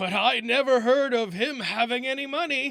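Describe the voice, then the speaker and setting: A put-on character voice from a man, extremely high in pitch, raised and projected, at a moderate pace with ordinary pitch variation. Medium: read story.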